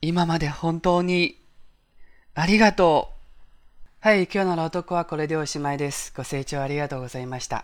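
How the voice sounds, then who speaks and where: A man's high-pitched voice at a moderate pace with ordinary pitch variation, on a very clean recording with a silent background. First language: Chinese (speaking Japanese). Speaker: Japanese language podcast host. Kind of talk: reading aloud; podcast intro and outro.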